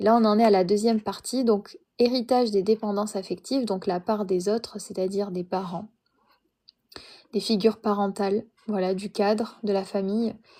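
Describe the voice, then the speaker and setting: A woman speaks in a flat monotone with a dark, mellow tone. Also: medium pitch for a woman, moderate pace, very clean recording, silent background. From France. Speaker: live streamer reading a book. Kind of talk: casual live stream chat. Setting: live stream. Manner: hesitant, many fillers.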